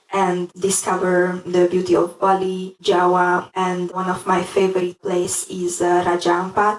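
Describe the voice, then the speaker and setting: Noticeable background noise sits behind a woman speaking at a moderate pace. She has a medium pitch and a Hungarian accent. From Hungary. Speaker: language learner. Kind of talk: interview.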